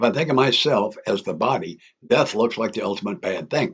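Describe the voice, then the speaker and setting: The man speaks with a medium pitch at a fairly quick pace. His pitch swings very widely. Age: 80s+. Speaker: author. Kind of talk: reading aloud.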